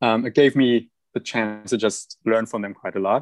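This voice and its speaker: The recording has a dry, close sound with no echo. A man speaks in a German accent. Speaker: podcast guest, food stylist assistant and food video creator. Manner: conversational, enthusiastic.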